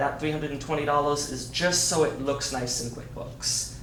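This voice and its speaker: Against noticeable background noise and audible room echo, a man speaks at a fairly high pitch with monotone, flat intonation. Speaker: staff member presenting budget to board. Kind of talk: board meeting presentation. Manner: fast.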